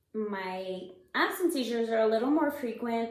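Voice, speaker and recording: Someone with an American accent speaks at a moderate pace amid audible room echo and noticeable background noise. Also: woman. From El Paso, Texas. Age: 30s. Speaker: person living with epilepsy, advocate. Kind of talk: personal testimony.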